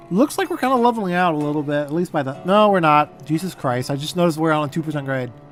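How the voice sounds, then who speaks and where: Music plays in the background as a man talks at a very fast pace with hardly any pauses. His pitch is fairly high, with ordinary variation. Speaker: gaming streamer. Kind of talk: gameplay commentary. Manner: casual, thinking aloud.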